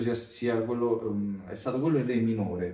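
A man talks in a normal speaking voice, medium in pitch and moderate in pace. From Italy, Rome. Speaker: bassist and composer. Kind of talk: casual interview.

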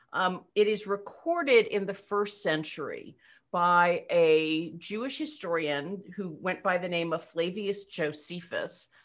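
A woman with an American accent speaks fairly slowly at a medium pitch, with ordinary pitch variation. She has an unremarkable speaking voice. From Eastern Pennsylvania. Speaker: rabbi. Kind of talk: casual chat.

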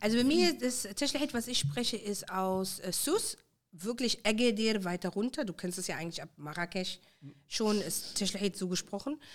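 This woman has an ordinary speaking voice, medium in pitch, moving at a moderate pace with lively intonation. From Germany, Moroccan Tashelhit-speaking family. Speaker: guest. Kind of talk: casual chat.

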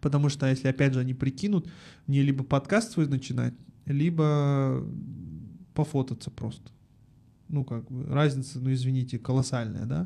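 A man's somewhat breathy voice of medium pitch with a dark, mellow tone, ordinary pitch variation, a moderate pace, and long, frequent pauses. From Almaty, Kazakhstan. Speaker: advertising agency founder and podcast studio owner. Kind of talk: casual interview chat. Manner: animated, casual, slangy.

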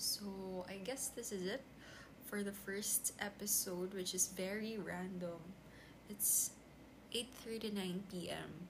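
Speaking very slowly with long, frequent pauses, a woman with a Filipino accent keeps a medium pitch and fairly even intonation. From Philippines. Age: 20s. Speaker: podcaster. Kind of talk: unscripted solo monologue. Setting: at home desk recording on tablet.

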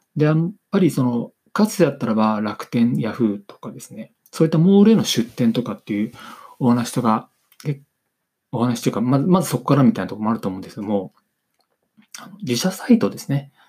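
Talking at a fairly quick pace, a man with a medium pitch and a dark, mellow tone uses lively intonation with big swings in loudness. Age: 40s. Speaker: business consultant podcaster. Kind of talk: solo podcast monologue. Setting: home recording on camera. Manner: halting, many fillers; reading from script.

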